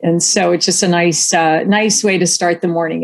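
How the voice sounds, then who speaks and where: Speaking at a fairly quick pace with vocal fry, a woman with an American accent keeps her intonation fairly even. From US Midwest, central Ohio. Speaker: nonprofit healthcare association executive. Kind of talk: interview.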